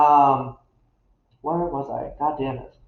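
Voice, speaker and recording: Very slow and monotone with flat intonation, a man speaks at a fairly high pitch. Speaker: occult YouTuber. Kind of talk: casual vlog monologue. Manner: halting, many fillers and restarts.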